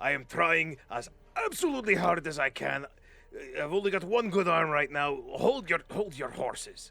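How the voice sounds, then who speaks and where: A gruff, put-on character voice from a man, high-pitched and at a moderate pace. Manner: strained, impatient.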